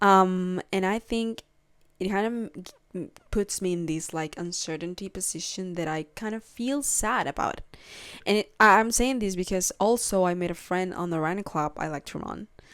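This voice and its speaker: A woman with a Spanish accent, at a fairly slow pace, in a very clean recording with a silent background. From Peru. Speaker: podcast host. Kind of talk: casual solo podcast chat. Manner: hesitant, many fillers and restarts.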